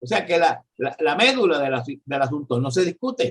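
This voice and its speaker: A man speaks at a fairly slow pace, his pitch making very wide swings. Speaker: economist and professor. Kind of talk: political discussion. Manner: halting.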